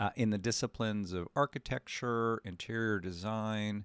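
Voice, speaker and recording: Recorded dry and close with no echo, a man with a plain, everyday voice speaks at a moderate pace, fairly low in pitch and with ordinary pitch variation. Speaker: podcast host. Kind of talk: interview.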